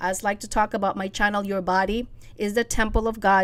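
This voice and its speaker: A woman with a plain, everyday voice talks at a fairly quick pace with a medium pitch. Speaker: faith-based self-help podcaster. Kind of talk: solo podcast talk.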